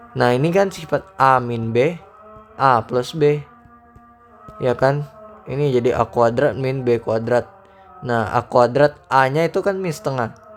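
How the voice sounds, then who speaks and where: A man with a medium-pitched voice speaks at a fairly slow pace with ordinary pitch variation, leaving long, frequent pauses while music plays in the background. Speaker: math tutor. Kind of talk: tutorial. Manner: casual; loud.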